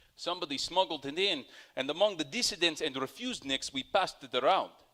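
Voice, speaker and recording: This man has a high pitch and a bright, sharp tone. His pitch swings very widely. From Soviet Union. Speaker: storyteller. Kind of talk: personal storytelling.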